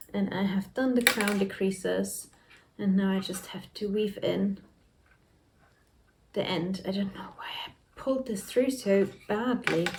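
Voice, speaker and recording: A woman with a medium pitch talks at a fairly slow pace with fairly even intonation. She leaves long, frequent pauses over noticeable background noise. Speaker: knitting vlogger. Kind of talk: casual chat.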